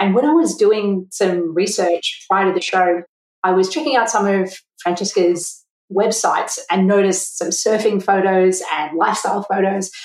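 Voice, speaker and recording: A woman speaks at a moderate pace and a medium pitch. Hers is an unremarkable speaking voice. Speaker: podcast host, accountant. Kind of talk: podcast interview.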